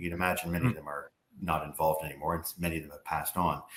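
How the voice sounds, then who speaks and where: A man with a Canadian accent speaks in a very deep, low pitch on a very clean recording with a silent background. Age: 60s. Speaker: former politician, energy advocacy group president. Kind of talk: interview.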